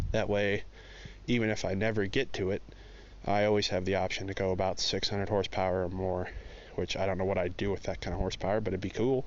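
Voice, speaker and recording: A man talks at a very fast pace in a fairly low voice, his intonation flat and monotone, his loudness very even, with audible room echo around him. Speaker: car hobbyist vlogger. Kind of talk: casual walkaround vlog. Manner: rambling, filler-heavy.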